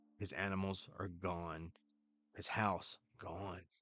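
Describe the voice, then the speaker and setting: Music plays in the background behind a voice with a Carolina Southern US accent. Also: man. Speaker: wrestling podcast host. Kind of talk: casual show review. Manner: rambling, casual.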